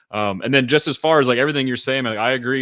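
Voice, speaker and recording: Recorded very cleanly with a silent background, a man with an American accent speaks at medium pitch in a bright, sharp tone. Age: 30s. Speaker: podcast host. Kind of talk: casual chat.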